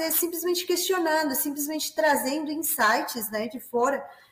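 A woman with a Peruvian accent speaks with lively intonation. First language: Spanish (speaking Portuguese). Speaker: business development manager. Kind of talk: webinar moderation. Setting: online webinar.

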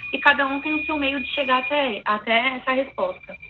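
Amid noticeable background noise, a woman's voice comes through at a high pitch. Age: 20s. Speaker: psychologist. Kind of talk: interview answers.

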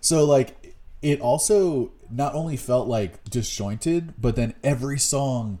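A man with a dark, mellow tone and ordinary pitch variation is heard in a very clean recording with a silent background. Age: 30s. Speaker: music podcast co-host. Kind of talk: casual chat.

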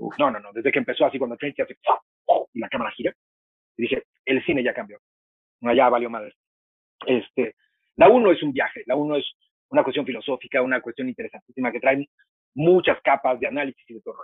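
Speaking at a very fast pace with long, frequent pauses, a man with a fairly high pitch shows ordinary pitch variation and big swings in loudness. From Mexico. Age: 50s. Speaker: film critic and university teacher. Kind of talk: interview.

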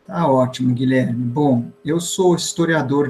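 Music plays in the background. Over it, a man speaks at a fairly high pitch with ordinary pitch variation. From Bahia until age 5, then São Paulo. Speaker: historian and professor. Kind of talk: interview. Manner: halting.

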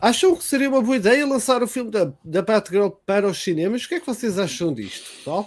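A man with a high voice speaks at a fairly quick pace with hardly any pauses. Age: 30s. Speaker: podcast host and streamer. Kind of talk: casual chat.

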